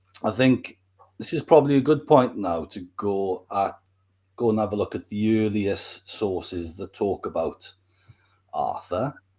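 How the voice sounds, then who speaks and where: Recorded very cleanly against a silent background, a man speaks at a fairly slow pace with lively intonation. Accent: Welsh. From Wales. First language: Welsh. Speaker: history YouTuber. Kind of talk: casual interview.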